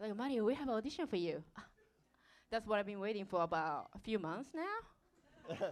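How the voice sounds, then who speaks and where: In a Japanese accent, the speaker moves at a moderate pace with very wide pitch swings. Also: woman, fairly high pitch for a woman. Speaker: dancer. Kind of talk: live stage interview. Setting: stage with audience.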